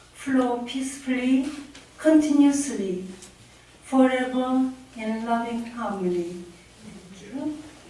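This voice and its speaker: A high-pitched woman's very slow speech with long, frequent pauses and ordinary pitch variation, amid noticeable background noise and audible room echo. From Korea. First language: Korean. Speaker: poet. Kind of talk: poetry reading.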